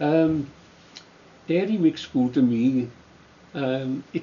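With a Welsh accent, a man speaks using lively intonation. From South Wales valleys. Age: 80s+. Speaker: retired trade unionist. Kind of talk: oral history interview. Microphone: camera far.

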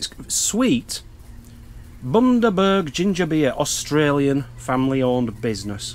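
The man's pitch swings very widely as he talks. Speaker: vlogger. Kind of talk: casual vlog chat. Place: tent. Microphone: phone near.

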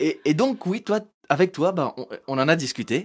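We hear a man speaking. His pitch swings very widely. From France, Portuguese immigrant family. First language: Portuguese (speaking French). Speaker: comedian and show host; show host, comedian. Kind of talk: live-streamed talk show interview. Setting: live stream on Facebook and Instagram. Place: studio. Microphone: handheld.

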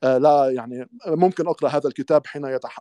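Over a quiet background, a man speaks at a moderate pace with ordinary pitch variation, and the sound is dry with no echo. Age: young. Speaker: Druze religious researcher; interview guest. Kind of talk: casual chat. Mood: critical, argumentative. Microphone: video call.

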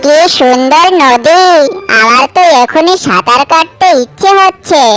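A woman uses a cartoonish character voice at a high pitch. Clear music plays in the background. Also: fairly slow pace.

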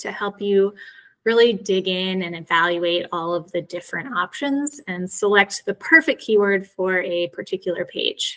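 A woman's bright, sharp tone at a moderate pace over a quiet background. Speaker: SEO specialist presenting a webinar. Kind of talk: webinar presentation. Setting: video call. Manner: frequent filler words. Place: home room. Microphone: webcam.

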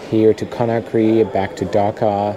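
Noticeable background noise sits behind this speaker. He is a man with a fairly low pitch. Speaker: travel vlogger. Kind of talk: casual vlog chat. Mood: amused storytelling. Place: station. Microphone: phone near.

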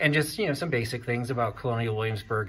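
A man's voice, with light background noise. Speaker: vintage shopping vlogger. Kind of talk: casual vlog commentary. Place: shop. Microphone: phone near.

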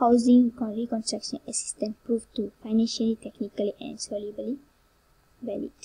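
In a dark, mellow tone, a woman speaks somewhat breathily at a fairly high pitch and a moderate pace. Her intonation is monotone and flat, while her loudness swings widely. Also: dry, close sound with no echo. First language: not English. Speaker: university student presenter. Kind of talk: class presentation. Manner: halting.

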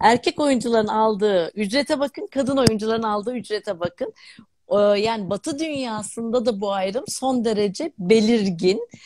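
A woman's voice at a moderate pace, with ordinary pitch variation and a dry sound free of echo. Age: 50s. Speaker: academic, distance-education channel host; distance-education channel host. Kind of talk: live-stream interview. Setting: live video stream. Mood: warm, smiling. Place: home room. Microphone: video call.

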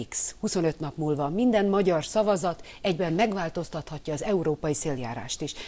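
Her tone dark and mellow, a woman speaks at a moderate pace and fairly low pitch with lively intonation. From Hungary. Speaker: opposition politician. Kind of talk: TV news interview. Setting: studio. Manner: animated. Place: studio.

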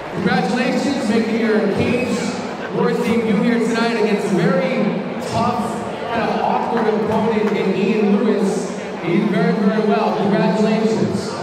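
Through strong room echo and noticeable background noise, a man speaks at a moderate pace. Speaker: event announcer. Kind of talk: post-fight interview and announcement. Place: hall.

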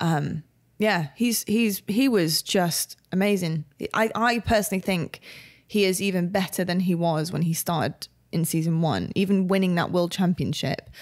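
A woman with a fairly low pitch speaks in an unremarkable speaking voice, her loudness very even and her pitch variation ordinary. The recording is very clean, with a silent background. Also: moderate pace. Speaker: podcast co-host. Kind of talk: casual chat.

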